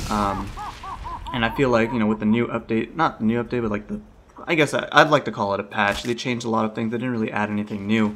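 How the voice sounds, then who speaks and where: A man at a very fast pace with fairly even intonation, amid noticeable background noise. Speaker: gaming commentator. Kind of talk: gameplay commentary. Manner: hesitant, many fillers.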